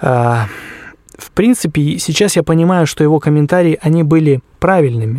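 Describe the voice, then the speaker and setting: His pitch fairly high for a man, the speaker shows ordinary pitch variation. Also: dry, close sound with no echo. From Krasnoyarsk Krai, Siberia, Russia. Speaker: musician and arranger. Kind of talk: interview.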